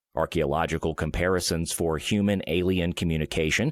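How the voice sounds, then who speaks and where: A man speaks at a very deep, low pitch with vocal fry. The recording is very clean, with a silent background. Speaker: voice actor. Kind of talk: sleep-aid reading of an encyclopedia article.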